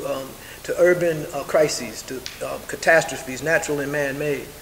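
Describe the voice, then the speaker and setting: Audible room echo and noticeable background noise accompany a man talking at a moderate pace with fairly even intonation. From New York, South Bronx. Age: 70s. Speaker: community activist. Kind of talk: press conference statement. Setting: press conference. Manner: halting, many fillers.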